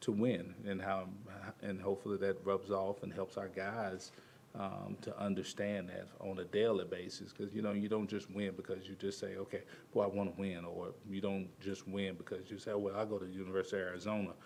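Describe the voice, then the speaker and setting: Audible room echo surrounds a man's voice. He talks at a fairly quick pace with monotone, flat intonation. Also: fairly low pitch for a man. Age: 60s. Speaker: basketball assistant coach. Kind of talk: press conference. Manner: halting.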